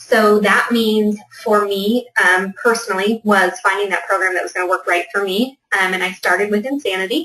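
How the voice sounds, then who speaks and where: Using an unremarkable speaking voice, a woman of medium pitch talks at a moderate pace with fairly even intonation. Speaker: fitness business coach. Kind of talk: webinar presentation.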